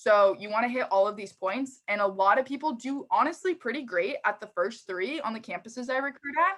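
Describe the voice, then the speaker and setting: Fairly quick, animated delivery with lively intonation and hardly any pauses. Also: woman, high pitch for a woman. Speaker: recruiting manager. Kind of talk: career talk to students.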